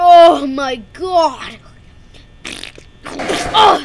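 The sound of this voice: The voice sits at an extremely high pitch. It is a put-on character voice.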